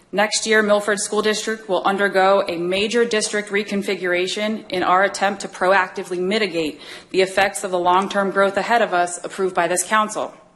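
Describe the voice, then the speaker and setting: A woman talks at a moderate pace. Her intonation stays fairly even. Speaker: school district official giving public comment. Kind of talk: prepared public comment statement. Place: hall. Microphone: podium.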